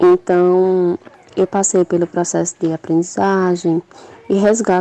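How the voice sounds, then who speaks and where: A woman speaks at a medium pitch with a dark, mellow tone. Her pace is fairly slow and her intonation fairly even, in a dry, close sound with no echo. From Brazil, Paraíba (João Pessoa). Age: 20s. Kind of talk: recorded testimony.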